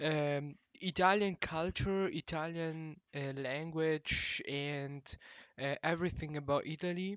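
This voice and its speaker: A man with a non-native accent speaks very slowly at a fairly high pitch. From Morocco. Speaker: language teacher. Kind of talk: video introduction. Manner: halting, many fillers.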